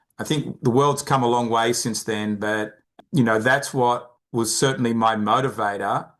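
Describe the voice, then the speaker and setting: Here a man speaks with an Australian accent at a moderate pace. His pitch is medium, and his intonation fairly even. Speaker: behavioral finance expert, company founder. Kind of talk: podcast interview.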